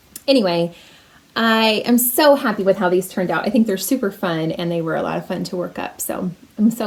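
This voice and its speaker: A woman with a medium pitch and ordinary pitch variation talks at a fairly quick pace while noticeable background noise plays. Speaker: knitting podcaster. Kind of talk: casual video podcast chat.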